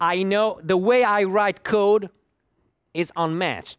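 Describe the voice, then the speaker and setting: Recorded very cleanly with a silent background, a man with an Italian accent comes through in a dry, close sound with no echo. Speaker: conference speaker, software developer. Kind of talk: lecture. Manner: halting, with many repetitions.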